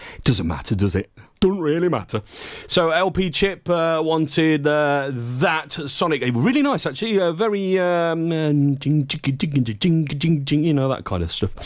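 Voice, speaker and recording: Fairly high-pitched and with lively intonation, a man talks at a moderate pace in a very clean recording with a silent background. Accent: East Midlands. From Leicester, English Midlands. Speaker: internet radio DJ. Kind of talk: live radio DJ chat. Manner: animated.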